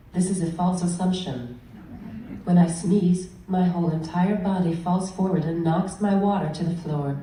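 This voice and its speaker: Against noticeable background noise, a woman speaks at a moderate pace with a fairly low pitch. Her intonation stays fairly even. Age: 20s. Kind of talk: prepared speech.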